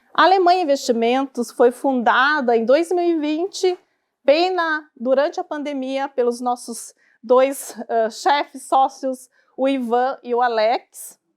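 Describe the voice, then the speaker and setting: At a very slow pace, a woman with a high voice speaks in a Curitiba accent. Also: ordinary pitch variation. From southern Brazil, Curitiba. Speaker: financial advisor. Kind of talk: talk to a live audience. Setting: stage with audience.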